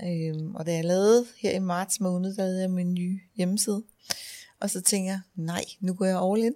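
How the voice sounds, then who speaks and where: Her voice sits at medium pitch with a dark, mellow tone. The woman keeps a moderate pace and fairly even intonation. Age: 50s. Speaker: funeral director. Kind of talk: casual interview. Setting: funeral home office. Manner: hesitant, many fillers.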